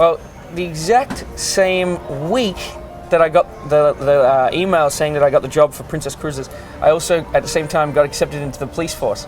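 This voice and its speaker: With music in the background, a man speaks at a moderate pace in a fairly high voice. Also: ordinary pitch variation. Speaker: cruise ship art auctioneer. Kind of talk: interview answer.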